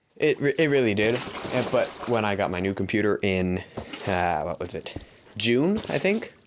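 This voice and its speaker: Noticeable background noise runs beneath a man's voice. He talks at a moderate pace in a fairly low pitch with lively intonation. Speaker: gaming YouTuber. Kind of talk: casual podcast-style commentary. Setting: hay barn. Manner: halting, stuttering; talking while pacing.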